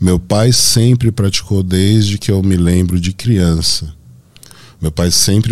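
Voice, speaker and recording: A man with a Paulista accent speaks at a fairly slow pace. His pitch is very deep and low, with fairly even intonation. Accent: Paulista Brazilian Portuguese. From Brazil, Santo André (São Paulo). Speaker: bodybuilding athlete and coach. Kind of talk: interview podcast conversation.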